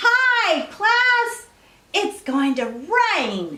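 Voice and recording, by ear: An extremely high put-on character voice leaps through very wide pitch swings.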